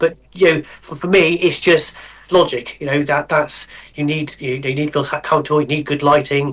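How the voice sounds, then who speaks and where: A man speaks in a West Country accent at a moderate pace. His pitch is fairly high and his intonation is monotone and flat. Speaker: model railway painter and builder. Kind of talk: podcast interview. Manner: halting, many repeated words.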